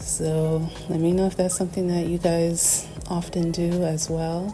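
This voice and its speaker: With music in the background, a woman with a very deep, low pitch speaks at a very slow pace in a monotone, flat intonation. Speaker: artist reviewing art supplies. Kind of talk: casual talk to camera. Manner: hesitant, many filler words.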